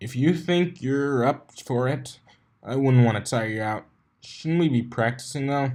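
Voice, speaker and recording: Doing a put-on character voice, a man rumbles at a medium pitch and a moderate pace over a very clean recording with a silent background. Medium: read story. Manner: cocky, grumbling.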